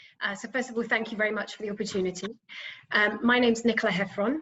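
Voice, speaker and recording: This is a woman speaking with a British accent. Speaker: pharma executive. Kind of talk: panel discussion.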